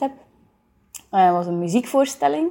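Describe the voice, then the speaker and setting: A woman's medium-pitched voice, dark and mellow in tone, with lively intonation. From Flanders, Belgium (Kluizen, East Flanders). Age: 20s. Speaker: theatre director. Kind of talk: interview. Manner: hesitant, many fillers.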